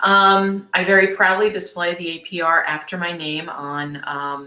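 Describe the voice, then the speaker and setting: Fairly low in pitch, a woman talks at a moderate pace with fairly even intonation. She has an ordinary speaking voice. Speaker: public relations professional and webinar presenter. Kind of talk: webinar presentation. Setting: webinar. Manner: frequent filler ums.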